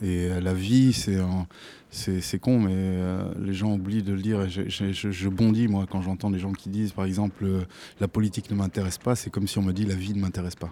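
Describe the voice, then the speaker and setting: In a very clean recording with a silent background, a man speaks in a very deep, low pitch with a dark, mellow tone and monotone, flat intonation. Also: moderate pace. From Africa until age 10, then France. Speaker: musician in an afrobeat band. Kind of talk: radio interview.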